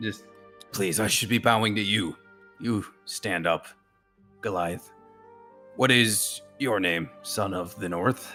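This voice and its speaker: Putting on a character voice, a man speaks at a fairly slow pace in a fairly low pitch while faint music plays in the background. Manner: deferential, humble.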